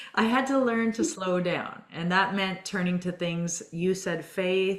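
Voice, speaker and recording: Over noticeable background noise, a woman speaks at a very slow pace with hardly any pauses, a medium pitch and ordinary pitch variation. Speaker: fitness and well-being coach, interviewer. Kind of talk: interview on video call. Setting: video call.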